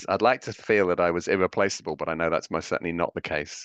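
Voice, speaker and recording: In a dry, close sound with no echo, a man with a very deep, low pitch speaks with an English accent. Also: quiet background. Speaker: professor. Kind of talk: panel discussion. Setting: video call. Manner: fast.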